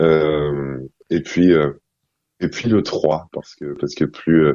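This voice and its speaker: Fairly even intonation marks a man's very deep, low-pitched speech. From Egypt, Cairo. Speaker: singer-songwriter. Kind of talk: interview.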